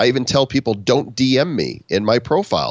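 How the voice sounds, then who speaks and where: There is vocal fry in this man's voice, and the sound is dry and close with no echo. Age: 50s. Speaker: author and podcast co-host. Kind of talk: interview.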